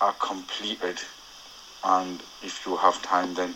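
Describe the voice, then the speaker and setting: Noticeable background noise runs through the clip. A man is the one talking. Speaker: cyclist sending a voice note to a podcast. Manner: reading from prepared notes.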